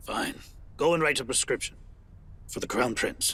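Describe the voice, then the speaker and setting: Putting on a character voice, a man speaks in a raspy, fairly high pitch at a moderate pace. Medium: fan dub.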